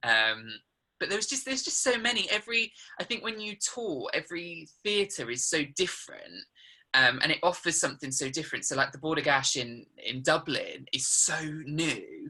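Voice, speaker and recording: The speaker talks at a moderate pace in a southern English accent. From England, Suffolk. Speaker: musical theatre actor. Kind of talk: interview. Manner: hesitant, many ums.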